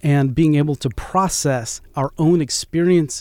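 With an American accent, a man speaks at a moderate pace in a dark, mellow tone and with ordinary pitch variation. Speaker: theater artistic director. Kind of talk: interview. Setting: studio.

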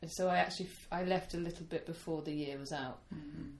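A woman's somewhat breathy voice with a British accent, fairly low in pitch, in a dark, mellow tone at a moderate pace. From United Kingdom. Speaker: camp teacher and song leader. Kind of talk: casual interview chat. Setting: sitting in a room in Poland.

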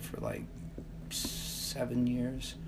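With an American accent, a woman speaks amid noticeable background noise and audible room echo. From US Midwest, southeast Kansas. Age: 60s. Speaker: journalism professor and activist. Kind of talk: casual interview.

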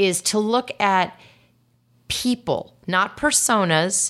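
A woman speaks with an energetic tone and lively intonation at a medium pitch. The recording is very clean, with a silent background. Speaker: marketing executive. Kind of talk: interview. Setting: in person, same city as host.

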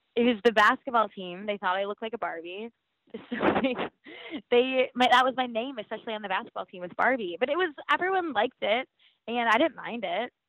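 Lively intonation and big swings in loudness mark this woman's speech, delivered at a fairly quick pace. She has an unremarkable speaking voice with a fairly high pitch. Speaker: reality show contestant guest. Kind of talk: casual chat.

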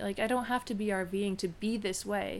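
On a very clean recording with a silent background, a woman speaks at a medium pitch. Her intonation is monotone and flat. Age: 30s. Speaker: college counselor and education consultant. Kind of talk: casual chat. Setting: studio.

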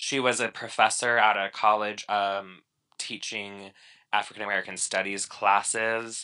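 A man speaks with a slight Chicago accent in a bright, sharp tone at a fairly low pitch. His intonation is flat and monotone against a quiet background. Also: moderate pace. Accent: slight Midwestern accent picked up in Chicago. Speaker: podcast co-host. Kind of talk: casual chat. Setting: remote call.

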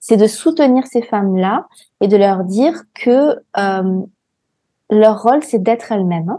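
Pausing long and often, a woman speaks at a fairly slow pace in a fairly high pitch, with a dark, mellow tone and lively intonation. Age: 40s. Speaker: entrepreneur and healer. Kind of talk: interview. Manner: hesitant, many fillers.

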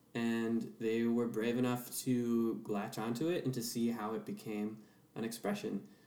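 This man has an American accent and a medium pitch. Audible room echo and noticeable background noise surround his voice. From US Pacific Northwest, Seattle. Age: 20s. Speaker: performer and musician. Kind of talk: casual interview chat.

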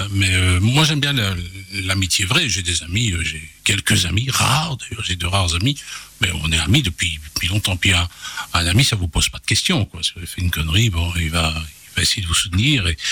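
A man's very deep, low voice with lively intonation at a moderate pace, over noticeable background noise. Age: 50s. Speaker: journalist and radio host. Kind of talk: radio interview. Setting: radio studio.

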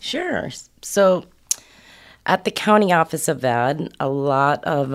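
On a very clean recording with a silent background, a woman speaks with an American accent. Her intonation is lively and her pace very slow. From New York. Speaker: foster and homeless youth services director. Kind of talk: podcast interview.

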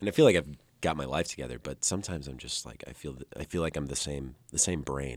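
Very deep and low in pitch, a man with a US Midwestern accent speaks at a very fast pace with vocal fry. His pitch varies in an ordinary way while his loudness swings widely. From Illinois, Dixon. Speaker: musician. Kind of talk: casual chat.

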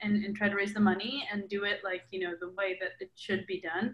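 A woman with an American accent and medium pitch speaks at a moderate pace over noticeable background noise. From Milwaukee, Wisconsin, US Midwest. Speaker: documentary filmmaker and journalist. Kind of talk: interview. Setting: video call.

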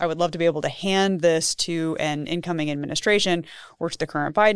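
On a very clean recording with a silent background, a woman with an ordinary speaking voice and an American accent talks at a fairly quick pace with fairly even intonation. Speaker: policy researcher. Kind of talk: interview conversation. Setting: studio.

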